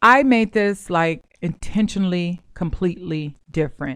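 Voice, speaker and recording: A woman's fairly low, plain, everyday voice, at a fairly slow pace with lively intonation. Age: 40s. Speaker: podcast host, mortgage and real estate educator. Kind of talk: casual monologue.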